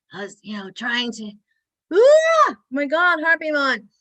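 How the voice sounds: A put-on character voice, high-pitched, hoarse and strained, at a fairly slow pace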